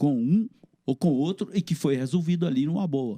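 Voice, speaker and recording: A man's dark, mellow voice with lively intonation at a moderate pace, in a dry, close sound with no echo and a very clean recording with a silent background. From Minas Gerais, Brazil. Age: 60s. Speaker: comic book artist. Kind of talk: interview conversation.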